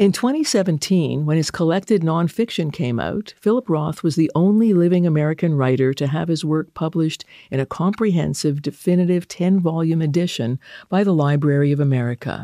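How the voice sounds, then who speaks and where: A woman with a normal speaking voice talks at a fairly quick pace, her pitch fairly low with ordinary variation, in a dry, close recording with no echo. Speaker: radio interviewer. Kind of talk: interview.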